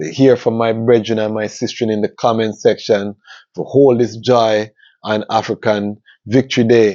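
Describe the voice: At a moderate pace, a man speaks in a fairly low, dark, mellow voice with little pitch movement.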